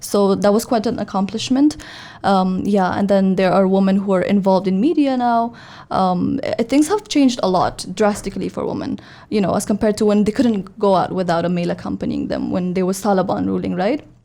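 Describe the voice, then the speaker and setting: A woman talks at a fairly quick pace with an Afghan accent. Her pitch is medium, with ordinary variation. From Afghanistan, Kabul. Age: 20s. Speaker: youth forum coordinator. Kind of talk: podcast interview.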